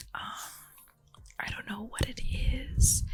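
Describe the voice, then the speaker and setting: Whispered speech is heard with noticeable background noise. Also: woman. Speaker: ASMR creator. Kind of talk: ASMR just chatting, casual talk about a reality TV show. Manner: whispered, soft-spoken, chatty.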